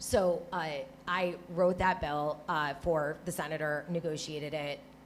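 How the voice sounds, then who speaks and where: A woman with an American accent speaks at a fairly slow pace in a very deep, low voice, her intonation fairly even. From Michigan, suburbs between Detroit and Flint. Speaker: water policy advocate and former Senate staffer. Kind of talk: panel discussion.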